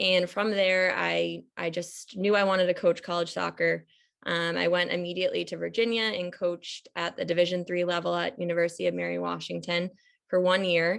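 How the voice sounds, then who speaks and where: Against a quiet background, a woman with an American accent talks at a fairly quick pace. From Massachusetts, US (Reading). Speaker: admissions coach, former college soccer coach. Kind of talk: presentation on video call. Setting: video call.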